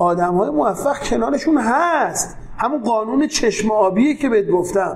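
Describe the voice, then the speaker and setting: Against noticeable background noise, a man speaks in a high pitch at a moderate pace with lively intonation. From Tehran, Iran (south Tehran). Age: 40s. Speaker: entrepreneur, company CEO. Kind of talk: interview. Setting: office.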